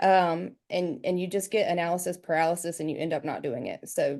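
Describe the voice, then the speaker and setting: A woman with a strong Southern US accent speaks at a fairly quick pace. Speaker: real estate agent. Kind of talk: video call panel discussion.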